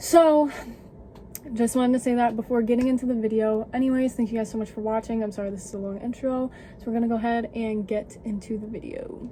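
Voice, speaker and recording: A quiet woman's voice, fairly high and fairly even in intonation, very fast, with big swings in loudness. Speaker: beauty youtuber. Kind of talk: casual vlog talk. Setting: home basement.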